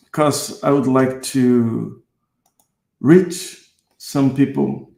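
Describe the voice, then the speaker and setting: Very slow speech from a man with a medium pitch and a dark, mellow tone. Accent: Brazilian. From Brazil. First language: Portuguese. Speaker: guitarist and music teacher. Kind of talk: online seminar. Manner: halting, with many fillers.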